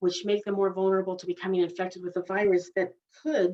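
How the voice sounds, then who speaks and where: Her voice sits at a medium pitch, coming from a woman speaking. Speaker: dental hygienist and laser educator. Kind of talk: webinar lecture. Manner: fast.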